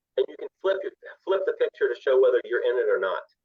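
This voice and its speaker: Recorded with a dry, close sound and no echo, a man with an American accent speaks at an extremely high pitch with fairly even intonation. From US South. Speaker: author. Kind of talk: interview.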